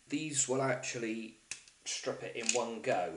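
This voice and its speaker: Audible room echo surrounds a man speaking in a strong Bristol accent. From Bristol, England. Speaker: DIY hobbyist. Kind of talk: tutorial. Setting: kitchen table at home. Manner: casual.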